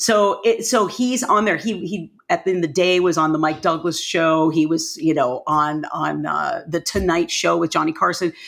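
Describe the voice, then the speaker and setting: The tone is energetic, with hardly any pauses. The pace stays moderate. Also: woman. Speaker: violinist and music teacher. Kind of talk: interview.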